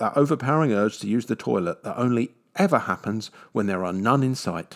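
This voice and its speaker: A man speaks at a fairly quick pace with a London accent, his pitch in the middle range and his intonation lively. The recording is very clean, with a silent background. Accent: British, southwest London. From southwest London, England. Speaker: travel podcaster. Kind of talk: scripted narration.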